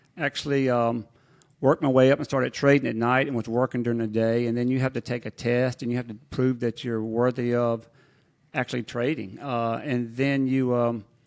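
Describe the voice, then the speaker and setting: Recorded very cleanly with a silent background and a dry, close sound with no echo, a man with a Mississippi accent speaks fairly quickly at a medium pitch in a monotone, flat intonation. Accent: Southern US (Mississippi). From Mississippi Delta. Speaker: business executive and former commodities trader. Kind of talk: interview. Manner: relaxed, conversational with frequent fillers.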